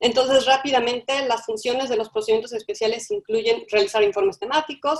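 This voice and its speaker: A woman with a plain, everyday voice, fairly high pitch, ordinary pitch variation and a fairly quick pace. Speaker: webinar moderator presenting human rights mechanisms. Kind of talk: webinar presentation. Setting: online webinar.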